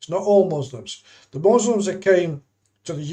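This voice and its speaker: A man with an English accent and a dark, mellow tone. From England. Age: 70s. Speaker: YouTuber. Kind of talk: live stream monologue. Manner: halting.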